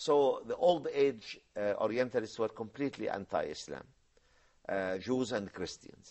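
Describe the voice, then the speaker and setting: Speaking at a moderate pace, a man talks with an Arabic accent. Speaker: professor, Islamic science scholar. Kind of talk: TV discussion, explanatory talk. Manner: halting, many fillers.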